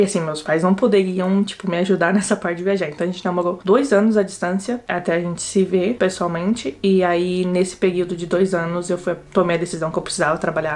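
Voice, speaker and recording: A woman with a São Paulo accent speaks at a medium pitch and a fairly quick pace, with hardly any pauses. Her pitch varies in an ordinary way, and there is noticeable background noise. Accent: Brazilian Portuguese, São Paulo. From São Paulo state coast, Brazil. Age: 20s. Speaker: university student, vlogger. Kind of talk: casual talk to camera.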